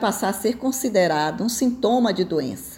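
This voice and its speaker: Somewhat breathy, a woman speaks at medium pitch with lively intonation. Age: 60s. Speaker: retired tax auditor and business mentor. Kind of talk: opinion commentary.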